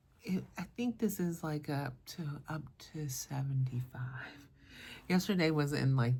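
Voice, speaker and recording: A soft-spoken, somewhat breathy woman with a very deep, low voice, fairly slow pace and ordinary pitch variation. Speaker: perfume content creator. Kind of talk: casual vlog review.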